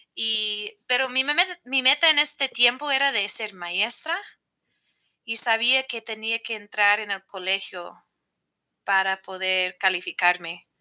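With an American accent, a woman speaks at a very slow pace with long, frequent pauses, her bright, sharp tone set at a fairly high pitch with ordinary pitch variation. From United States. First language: English (speaking Spanish). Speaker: teacher and motivational coach. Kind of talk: casual interview. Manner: halting, non-native phrasing.

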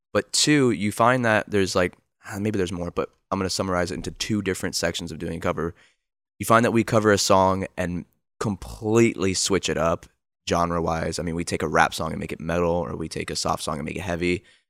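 A man speaks with a very deep, low pitch at a fairly quick pace, his pitch varying in an ordinary way. The sound is dry and close, with no echo, on a very clean recording with a silent background. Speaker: podcast host, band member. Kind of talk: casual chat.

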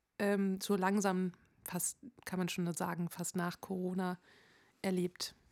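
A woman speaking at a very slow pace, in a very clean recording with a silent background. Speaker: podcast host and musician. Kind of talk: casual chat.

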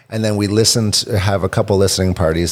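This man's pitch is very deep and low, and his pace is fairly quick. His intonation stays monotone and flat. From Canada (Hamilton, Ontario). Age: 40s. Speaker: indie rock musician. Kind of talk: casual chat.

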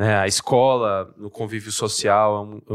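A man talks at a moderate pace. His is an unremarkable speaking voice, fairly low in pitch. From interior of São Paulo state, Brazil (São Carlos). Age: 20s. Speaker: politician. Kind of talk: casual interview chat.

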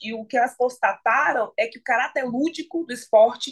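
Her voice sits high in pitch. The woman speaks at a moderate pace. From Bahia, Brazil (Salvador). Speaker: journalist and sports content creator. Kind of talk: podcast interview.

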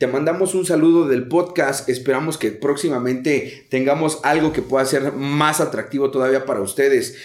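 At a moderate pace, a man uses a normal speaking voice with fairly even intonation, very even loudness and hardly any pauses. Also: fairly high pitch for a man. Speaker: podcast host, recovering addict. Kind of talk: casual interview.

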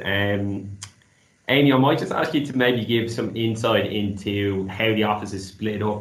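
Amid audible room echo, a man with an Irish accent speaks at a fairly low pitch for a man. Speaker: graduate market executive. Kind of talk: casual chat.

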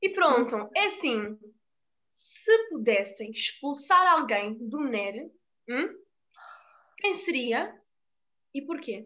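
A woman speaks in a raised, projected voice that is high-pitched, bright and sharp, with very wide pitch swings. Her pace is very slow, with long, frequent pauses. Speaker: student podcast host. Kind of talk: casual chat.

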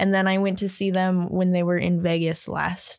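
A woman with an ordinary speaking voice talks at a medium pitch and a moderate pace. The sound is dry and close with no echo, on a very clean recording with a silent background. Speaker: recurring guest. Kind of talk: casual chat.

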